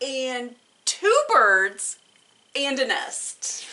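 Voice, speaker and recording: A woman does a put-on character voice. Her pitch is high. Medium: read story. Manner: calm, matter-of-fact.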